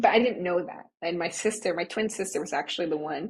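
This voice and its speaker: A woman speaks in a normal speaking voice with an American accent. Her pitch is fairly low. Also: very clean recording, silent background. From US Midwest, Nebraska. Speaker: money and manifestation coach. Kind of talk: podcast interview.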